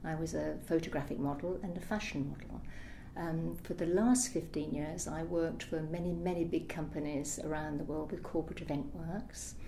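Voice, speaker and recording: Audible room echo surrounds a woman whose very deep, low voice has a dark, mellow tone, vocal fry, ordinary pitch variation and a moderate pace. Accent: British. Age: 60s. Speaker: interviewee with electrosensitivity. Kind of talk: testimony.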